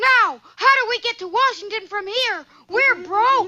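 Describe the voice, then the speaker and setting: A cartoonish character voice speaks at an extremely high pitch and a moderate pace. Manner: bright, eager, earnest.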